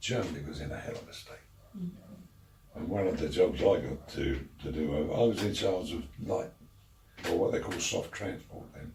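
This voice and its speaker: Amid noticeable background noise, a man speaks with long, frequent pauses and big swings in loudness. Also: moderate pace. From London, England. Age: 80s+. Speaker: war veteran. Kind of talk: interview answer.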